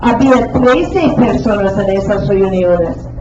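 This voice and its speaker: A woman talks very slowly with ordinary pitch variation, her voice echoing in the room over noticeable background noise. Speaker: Spanish teacher. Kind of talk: classroom lesson.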